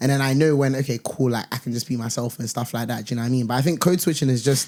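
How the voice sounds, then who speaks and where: A man speaks with a London accent at a very fast pace. His intonation is fairly even. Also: medium pitch for a man. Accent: London multicultural English. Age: 20s. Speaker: corporate professional and content creator. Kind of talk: casual podcast chat.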